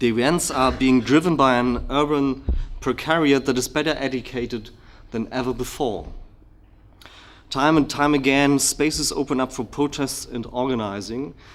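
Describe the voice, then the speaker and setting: A man's medium-pitched voice at a moderate pace with fairly even intonation. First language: German. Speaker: political researcher, keynote speaker. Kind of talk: lecture, partly reading from written paper. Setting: conference hall with audience. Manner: hesitant, many fillers.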